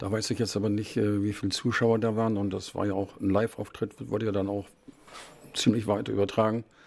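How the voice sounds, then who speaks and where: With a dark, mellow tone, a man talks at a fairly quick pace in a monotone, flat intonation. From northern Germany, Bremen. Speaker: choir chairman. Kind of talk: interview.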